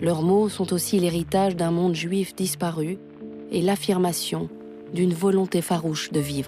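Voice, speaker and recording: With music in the background, a woman speaks in a serious tone at a fairly low pitch and a fairly slow pace, her intonation monotone and flat. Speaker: documentary narrator (voice-over). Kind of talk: documentary narration. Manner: serious, measured.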